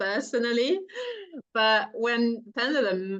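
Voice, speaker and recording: A woman with a French accent and lively intonation. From France. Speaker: entrepreneur. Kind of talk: interview.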